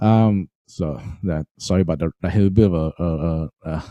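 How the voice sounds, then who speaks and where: A man with a Singaporean accent has a dark, mellow tone, recorded with a dry, close sound and no echo. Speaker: music trainer. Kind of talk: webinar tutorial. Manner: halting, many fillers.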